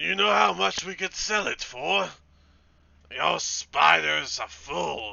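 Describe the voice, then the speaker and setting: A man uses a gruff, put-on character voice. He talks at a fairly slow pace with a fairly low pitch. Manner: arguing, scornful.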